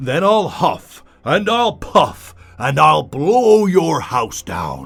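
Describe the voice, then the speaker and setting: Bellowing in a put-on character voice, a man uses a menacing tone and a high pitch. His pace is very slow. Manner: roaring, menacing.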